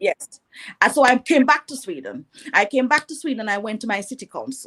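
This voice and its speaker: A woman with a Jamaican accent talks fairly quickly at a high pitch, her intonation lively. The tone is bright and sharp, and the sound is dry and close with no echo. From Jamaica (rural, Bath, St Thomas). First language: Jamaican Patois. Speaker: entrepreneur. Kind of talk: interview.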